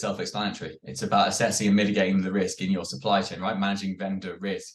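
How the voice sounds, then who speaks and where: Talking at a very fast pace, this man has a British accent and a fairly low pitch. His pitch variation is ordinary. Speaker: security executive. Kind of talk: webinar panel discussion.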